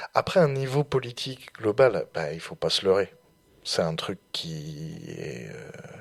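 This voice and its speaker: Very wide pitch swings and big swings in loudness mark this man's fairly low voice. He talks at a very slow pace. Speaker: student radio host. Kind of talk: casual discussion. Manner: halting, many hesitations.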